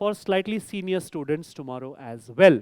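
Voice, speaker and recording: A man with a Marathi accent, animated tone and very wide pitch swings, in a very clean recording over a silent background. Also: dry, close sound with no echo. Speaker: quizmaster. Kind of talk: live quiz hosting. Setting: stage with audience.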